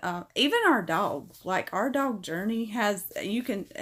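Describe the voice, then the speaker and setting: Over a silent background in a very clean recording, a woman with a fairly high pitch talks at a very slow pace. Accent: Southern US. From US South. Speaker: pet channel streamer. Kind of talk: live stream chat. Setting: live stream. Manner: casual, chatty.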